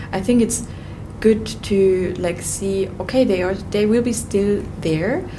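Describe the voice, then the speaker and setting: A woman's medium-pitched voice, fairly even in intonation, at a very slow pace against noticeable background noise. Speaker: yoga teacher and breathwork facilitator. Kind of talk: casual interview.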